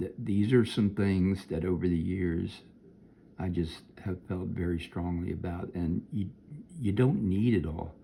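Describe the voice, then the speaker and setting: A man's very deep, low voice has a dark, mellow tone, fairly even intonation, a fairly slow pace and a somewhat breathy quality. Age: 70s. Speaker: YouTuber discussing JFK assassination. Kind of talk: casual monologue to camera. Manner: halting, many fillers.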